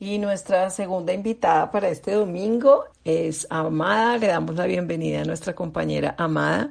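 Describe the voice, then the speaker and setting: A woman's plain, everyday voice, fairly low in pitch, with ordinary pitch variation, a moderate pace and hardly any pauses. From Colombia. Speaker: recovery meeting facilitator. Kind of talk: meeting facilitation.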